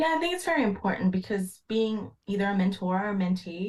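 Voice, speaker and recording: A woman talks at a fairly quick pace and a medium pitch. Her voice is somewhat breathy. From Philippines. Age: 20s. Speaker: engineer. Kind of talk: podcast interview.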